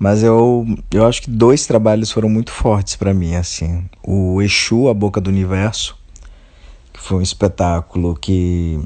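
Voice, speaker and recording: A man speaks in a normal speaking voice. His pitch is fairly low, with ordinary pitch variation. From Brazil, Bahia (Alagoinhas). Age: 30s. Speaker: playwright and theatre director. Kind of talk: interview.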